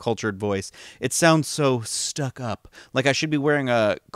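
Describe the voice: The speech is plain reading aloud, its pitch varying in an ordinary way.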